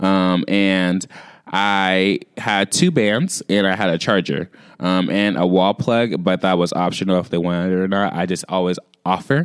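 A man with an ordinary speaking voice talks at a moderate pace and a fairly low pitch, recorded very cleanly against a silent background, with a dry, close sound and no echo. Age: 20s. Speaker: podcast host. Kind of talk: casual chat.

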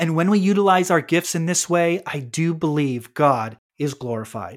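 In a very clean recording with a silent background, a man with a high pitch talks at a moderate pace with ordinary pitch variation. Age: adult. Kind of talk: scripted devotional monologue.

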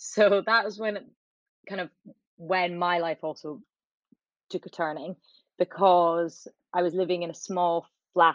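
With an Edinburgh accent, a woman speaks at a fairly low pitch in a dry, close sound with no echo. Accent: Scottish (Edinburgh). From Scotland, Edinburgh. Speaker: TV producer and charity founder. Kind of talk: interview.

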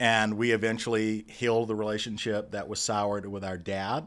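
The voice comes in an American accent with a flat monotone, on a very clean recording with a silent background. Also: man. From Dallas, Texas (Oak Cliff). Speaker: arts nonprofit executive and Broadway producer. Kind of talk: interview.

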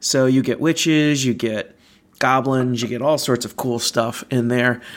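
A man with a fairly high pitch speaks in a relaxed tone with fairly even intonation. The recording is very clean, and the background is silent. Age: 30s. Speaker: theme park podcast host. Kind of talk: casual solo chat over a beer. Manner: relaxed, filler-heavy.

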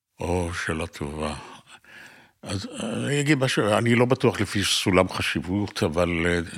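A man's pitch swings very widely as he talks at a moderate pace. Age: 80s+. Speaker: podcast host. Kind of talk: interview.

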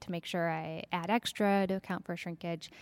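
The voice carries an American accent with monotone, flat intonation. It is recorded very cleanly against a silent background. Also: woman. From Minnesota, Twin Cities. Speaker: hand weaver. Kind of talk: interview. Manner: halting, many fillers.

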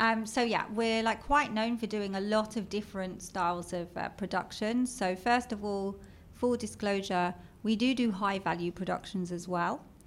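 With a London accent, a woman talks at a moderate pace in a medium pitch and fairly even intonation. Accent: British (London). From London, England. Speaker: marketing executive. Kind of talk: casual interview chat.

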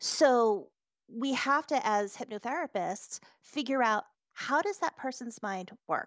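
In a normal speaking voice with an American accent, the speaker uses lively intonation at a fairly slow pace. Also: woman. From US New Hampshire. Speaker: hypnotherapist. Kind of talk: interview.

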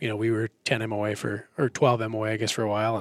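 With an Upper Midwest accent, a man speaks at a fairly low pitch in a dry, close sound with no echo. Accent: Upper Midwest American. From central Minnesota. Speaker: optics company employee, hunter. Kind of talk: casual technical discussion.

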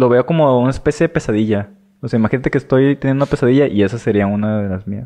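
The man talks very rapidly at a mid-range pitch, his pitch varying in an ordinary way. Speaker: podcast co-host. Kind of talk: casual chat.

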